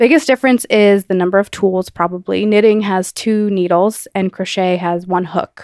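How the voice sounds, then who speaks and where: In a normal speaking voice, a woman with an American accent speaks at a moderate pace and medium pitch with ordinary pitch variation. The recording is very clean, with a silent background and a dry, close sound with no echo. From New Jersey. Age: 20s. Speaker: magazine founder and editorial assistant. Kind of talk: interview.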